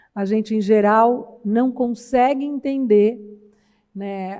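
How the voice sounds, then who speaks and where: A woman's fairly high voice, fairly slow in pace and fairly even in intonation. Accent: São Paulo interior. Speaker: university professor, research project coordinator. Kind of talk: conference panel talk. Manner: conversational, many fillers (né).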